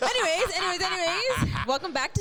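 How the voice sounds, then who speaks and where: A woman shouts loudly at a fairly quick pace. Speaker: podcast host. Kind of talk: casual chat. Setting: live event, crowded room. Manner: loud, yelling.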